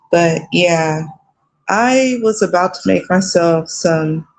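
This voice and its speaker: With an American accent, a woman speaks in a fairly low pitch that varies in an ordinary way. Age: 30s. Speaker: vlogger. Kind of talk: casual chat. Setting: at home. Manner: casual, hesitant with fillers.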